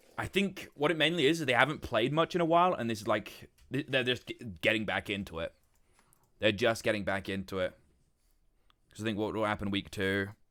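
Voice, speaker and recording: With a British accent and lively intonation, a man talks at a fairly quick pace in a bright, sharp tone, leaving long, frequent pauses. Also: medium pitch for a man. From Britain. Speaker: streamer. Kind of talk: casual chat. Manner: animated.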